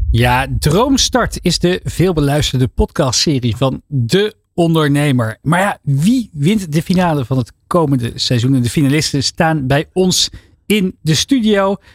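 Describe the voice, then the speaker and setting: An unremarkable speaking voice from a man at a fairly high pitch, fairly slow pace and lively intonation, with hardly any pauses, very even loudness and a dry, close sound with no echo. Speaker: radio host. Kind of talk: radio talk show. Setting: studio.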